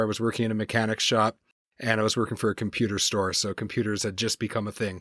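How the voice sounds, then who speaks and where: In an Atlantic Canadian accent, a man talks at a fairly quick pace with monotone, flat intonation and a dry, close sound with no echo. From Canada, New Brunswick (Maritimes). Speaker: consultant and podcast host. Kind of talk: interview.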